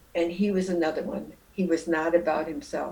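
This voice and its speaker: Speaking with a Midwestern American accent, a woman keeps a fairly low pitch with ordinary pitch variation. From Jackson, Michigan. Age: 80s+. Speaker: retired nurse. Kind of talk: interview answer. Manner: reflective, conversational.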